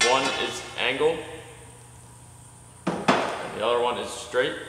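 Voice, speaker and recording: Loud background noise along with audible room echo. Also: man. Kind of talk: tutorial. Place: workshop.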